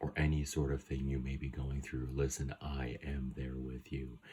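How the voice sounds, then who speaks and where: Soft-spoken and somewhat breathy, the voice holds a monotone, flat intonation. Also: man. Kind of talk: ASMR video.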